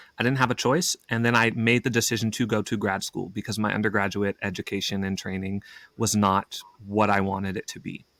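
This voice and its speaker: A man with an American accent talks fairly quickly at a fairly low pitch with fairly even intonation. The sound is dry and close with no echo, on a very clean recording with a silent background. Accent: slight Southern, trained out. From Oklahoma, US South. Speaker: actor. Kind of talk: casual chat.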